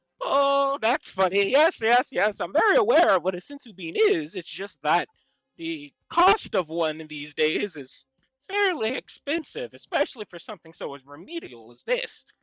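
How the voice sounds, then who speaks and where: A man puts on a high-pitched character voice, raised and projected, at a moderate pace. Loudness swings hugely and pitch swings very widely, in a dry, close sound with no echo. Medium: actual play. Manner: fussy, scholarly.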